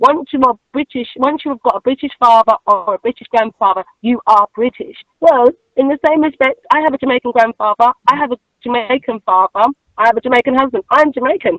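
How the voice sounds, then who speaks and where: A woman speaks at a fairly quick pace in a high pitch. The sound is dry and close, with no echo. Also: ordinary pitch variation. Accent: strong Cockney. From East London, England. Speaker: expat interviewee. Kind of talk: interview.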